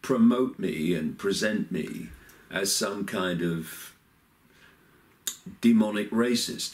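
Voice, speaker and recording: A man speaks with lively intonation. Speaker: videocast host. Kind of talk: casual vlog commentary. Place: home room. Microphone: webcam.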